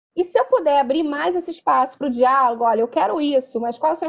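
With ordinary pitch variation, a high-pitched woman talks fairly quickly. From Brazil, Rio de Janeiro. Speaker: social worker. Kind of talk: interview.

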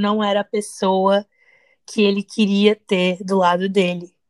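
A woman talks at a very slow pace with a medium pitch. The recording is dry and close, without any echo. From Brazil, teen years in the US. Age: 30s. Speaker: podcast co-host. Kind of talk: casual chat.

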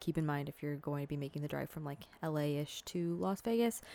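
With a Californian accent and fairly even intonation, a woman talks on a very clean recording with a silent background. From Southern California. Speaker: podcaster. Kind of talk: casual monologue. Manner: filler-heavy, casual.

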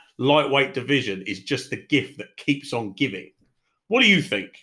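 Here a man talks with a British accent. His fairly high voice has a bright, sharp tone. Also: very clean recording, silent background. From Britain. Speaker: MMA podcast host. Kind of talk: casual solo commentary podcast.

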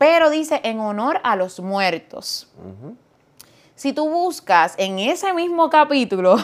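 On a very clean recording with a silent background, a woman with a Puerto Rican accent speaks at a very slow pace, her pitch swinging very widely. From Puerto Rico (Fajardo, east coast). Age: 40s. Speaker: pastor. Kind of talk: casual chat.

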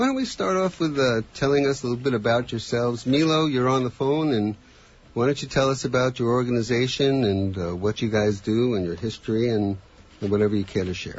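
This is an ordinary speaking voice at a fairly quick pace. Its pitch shows ordinary variation. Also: man, medium pitch for a man. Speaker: radio host. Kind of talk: radio talk show hosting. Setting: studio.

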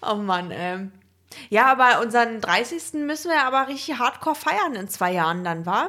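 A woman's fairly high voice, bright and sharp, with very wide pitch swings at a moderate pace. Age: 20s. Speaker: podcast co-host. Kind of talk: casual chat.

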